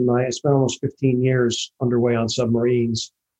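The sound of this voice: A man with an American accent uses a normal speaking voice at medium pitch and a moderate pace. The sound is dry and close, with no echo.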